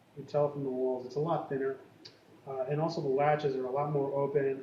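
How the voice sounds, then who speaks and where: Speaking at a fairly high pitch, a man is heard through audible room echo and noticeable background noise. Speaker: tech company co-founder. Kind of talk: product demonstration. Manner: hesitant, many fillers.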